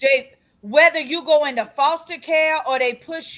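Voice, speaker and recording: A woman's high-pitched voice comes through in an animated tone at a fairly slow pace. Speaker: podcast co-host and doula. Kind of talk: casual chat. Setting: video recorded podcast. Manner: repeats words, stammering starts; loud, animated.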